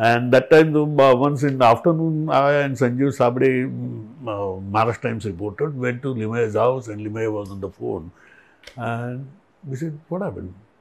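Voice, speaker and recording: A man's normal speaking voice, medium in pitch, with big swings in loudness, ordinary pitch variation and a moderate pace. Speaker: interviewer and journalist; interviewer, journalist. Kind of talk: interview conversation. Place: office. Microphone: lapel.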